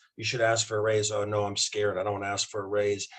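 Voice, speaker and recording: Somewhat breathy and fairly low-pitched, a man speaks at a very fast pace. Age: 60s. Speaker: doctor promoting a wellness product. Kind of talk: casual interview chat.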